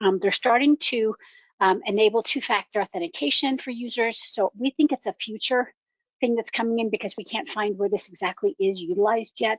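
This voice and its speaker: At a fairly quick pace, a woman talks in a fairly high voice with ordinary pitch variation. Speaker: ERP security consultant. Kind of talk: webinar presentation. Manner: fast; hesitant, many ums.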